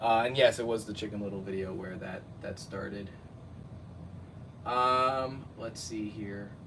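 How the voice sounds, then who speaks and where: A man with an American accent speaks at a fairly low pitch and a fairly slow pace, leaving long, frequent pauses. His loudness swings widely, and audible room echo is present. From New Jersey. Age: 30s. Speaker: YouTube cartoon reviewer. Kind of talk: casual live stream chat. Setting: live stream at home. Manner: animated.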